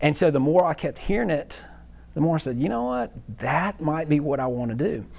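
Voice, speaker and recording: A man with a Southern US accent talks at a fairly quick pace. His pitch is fairly high, with ordinary pitch variation. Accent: Southern US (Georgia). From US South, Athens, Georgia. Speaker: accounting professor. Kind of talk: casual interview chat. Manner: animated.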